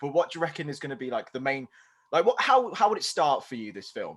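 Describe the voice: This man talks at a very fast pace with a slight Birmingham accent, his fairly high pitch swinging very widely and his loudness rising and falling in big swings. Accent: slight Birmingham twang.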